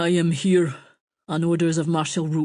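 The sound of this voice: A put-on character voice in a strong Aquitanian accent, middle-pitched and monotone with flat intonation, at a moderate pace. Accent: thick Aquitanian.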